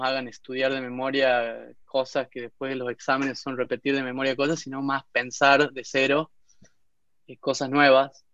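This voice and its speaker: A dry, close sound with no echo carries speech delivered at a fairly slow pace. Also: man. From Argentina, Tucumán (Concepción). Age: 30s. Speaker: entrepreneur. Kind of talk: interview testimony.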